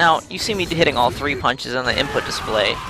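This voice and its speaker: With music playing in the background, a man speaks fairly quickly, his pitch varying in an ordinary way. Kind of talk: video game tutorial narration. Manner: casual, joking.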